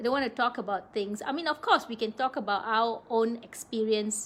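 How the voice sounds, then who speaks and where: A woman speaks with ordinary pitch variation. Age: 60s. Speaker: wellness live-stream host. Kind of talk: live stream talk. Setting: live video stream.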